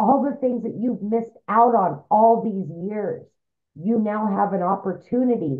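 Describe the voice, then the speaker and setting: Against a quiet background, a woman with a fairly high voice speaks at a fairly slow pace with ordinary pitch variation. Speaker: single mother; webinar host. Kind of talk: testimony. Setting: video call. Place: home room. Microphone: webcam.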